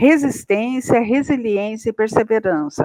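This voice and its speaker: At a fairly slow pace, a woman with a fairly high pitch speaks in a dry, close sound with no echo. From interior of São Paulo state, Brazil. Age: 60s. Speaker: agricultural scientist. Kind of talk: podcast interview. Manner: hesitant, many fillers.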